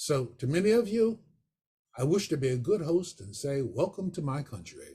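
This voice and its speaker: A man's somewhat breathy, dark and mellow voice with an American accent, fairly high in pitch, with very wide pitch swings at a moderate pace. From western Pennsylvania. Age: 80s+. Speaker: photographer and retired professor. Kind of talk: personal testimony talk. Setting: video call.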